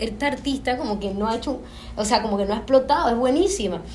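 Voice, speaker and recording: A woman's high-pitched voice at a fairly quick pace, with ordinary pitch variation, audible room echo and noticeable background noise. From Panama. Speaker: filmmaker. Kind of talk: panel discussion.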